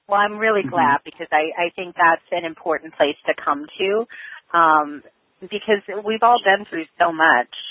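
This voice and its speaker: Moving at a moderate pace, this is an ordinary speaking voice with an American accent and ordinary pitch variation. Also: woman, fairly low pitch for a woman. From Chicago, US Midwest. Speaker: podcast host, fear coach. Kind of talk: podcast interview.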